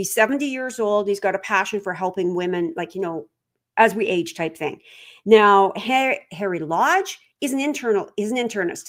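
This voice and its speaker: A normal speaking voice with lively intonation moves at a moderate pace in a very clean recording with a silent background. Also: woman, medium pitch for a woman. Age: 60s. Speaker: trail running podcaster. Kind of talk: live stream talk. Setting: live stream. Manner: casual, filler-heavy.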